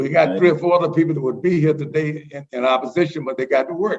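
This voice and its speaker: With an American accent, a man speaks at a very fast pace, fairly high in pitch with ordinary pitch variation. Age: 80s+. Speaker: resident speaking in opposition. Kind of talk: public comment at council meeting. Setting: teleconference.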